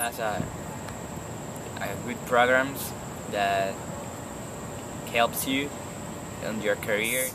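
A man's very slow speech with long, frequent pauses, dry with no echo, over noticeable background noise. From Venezuela. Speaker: college ESL student. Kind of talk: class project advice talk. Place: garden. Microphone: phone near.

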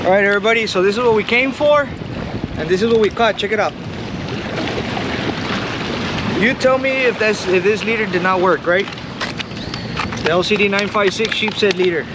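Loud background noise surrounds a man who leaves long, frequent pauses. His pitch variation is ordinary. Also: moderate pace, dry sound with no echo. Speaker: fishing vlogger. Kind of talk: casual vlog chat. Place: waterside. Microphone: phone near.

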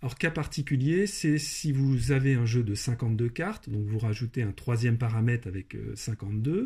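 A man speaks at a medium pitch and a moderate pace, somewhat breathy, with ordinary pitch variation and hardly any pauses, on a very clean recording with a silent background. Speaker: maths and programming teacher. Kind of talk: tutorial narration.

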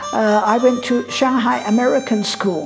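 A woman speaks at a fairly slow pace with ordinary pitch variation. Clear music plays in the background. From Shanghai, China. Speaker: interviewee recalling history. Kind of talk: interview answer. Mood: earnest, warm reminiscing. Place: home room. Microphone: lapel.

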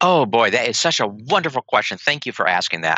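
A man with vocal fry swings his pitch very widely, recorded dry with no echo over a quiet background. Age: 60s. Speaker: pediatric dentist and professor; professor. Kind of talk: interview. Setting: remote call. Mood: enthusiastic. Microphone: video call.

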